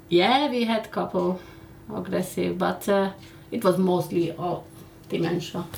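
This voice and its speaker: A woman with a non-native accent and a fairly low pitch speaks at a fairly slow pace, her loudness swinging widely, with audible room echo and noticeable background noise. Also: ordinary pitch variation. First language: not English. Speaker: care worker. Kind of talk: casual chat.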